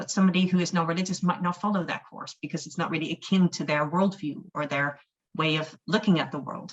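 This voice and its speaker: At a very fast pace, a somewhat breathy woman speaks with a fairly low pitch and fairly even intonation. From Netherlands. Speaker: humanist chaplain. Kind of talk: webinar talk.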